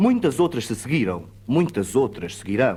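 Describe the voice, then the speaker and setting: Speaking at a moderate pace, a man with a European Portuguese accent sounds somewhat breathy. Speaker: actor, poetry reciter. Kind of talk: poetry reading.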